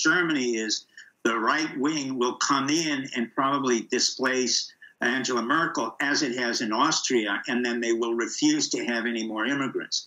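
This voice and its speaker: At a moderate pace and a medium pitch, a man speaks in an ordinary speaking voice, with ordinary pitch variation. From immigrant, not US-born. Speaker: political commentator, former intelligence official. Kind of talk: talk show interview. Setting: video call via Skype.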